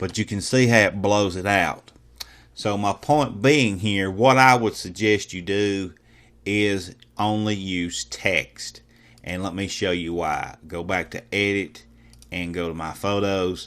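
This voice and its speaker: In a very clean recording with a silent background, a man with a fairly low voice speaks very slowly with ordinary pitch variation. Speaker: software tutorial instructor. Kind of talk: screen-recorded tutorial. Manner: casual with frequent fillers and repetitions.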